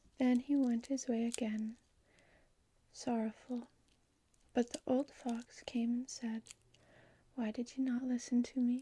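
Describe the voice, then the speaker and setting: The speaker is soft-spoken and talks at a fairly slow pace. Long, frequent pauses break up the speech. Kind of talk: storybook reading.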